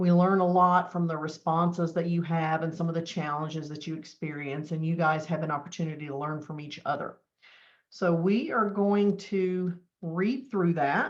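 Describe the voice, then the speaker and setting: A woman with a fairly low voice talks at a moderate pace, her intonation fairly even. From US South. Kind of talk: webinar presentation.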